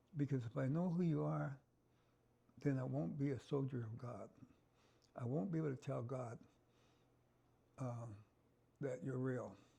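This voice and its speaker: A man talks at medium pitch and a moderate pace, his tone dark and mellow and somewhat breathy. His intonation is lively, broken by long, frequent pauses. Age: 70s. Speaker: bereaved father and liver transplant recipient. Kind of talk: interview testimony.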